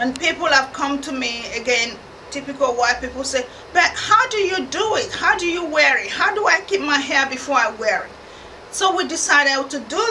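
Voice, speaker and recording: A woman speaks in a raised, projected voice at a moderate pace. Light background noise can be heard. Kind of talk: explainer to camera. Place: studio.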